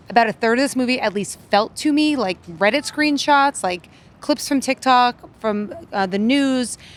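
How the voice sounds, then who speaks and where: A woman with a plain, everyday voice speaks at a moderate pace in an American accent, with ordinary pitch variation. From Massachusetts, Worcester. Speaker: film critic. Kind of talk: casual film review chat.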